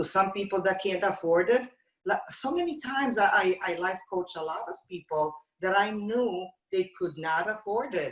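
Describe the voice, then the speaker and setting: Speaking with a non-native accent, a woman keeps a medium pitch. Her pace is moderate and her pitch varies in an ordinary way. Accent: foreign. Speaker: TV talk show host. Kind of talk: casual chat.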